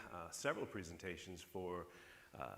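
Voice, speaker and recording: A man with an American accent speaks at a fairly quick pace, his voice carrying an audible room echo. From northern US. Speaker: keynote speaker. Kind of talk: conference keynote speech.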